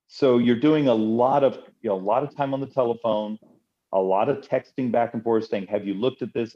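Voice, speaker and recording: A man with a normal speaking voice, medium pitch, ordinary pitch variation and a fairly quick pace. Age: 50s. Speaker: congressman. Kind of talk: interview.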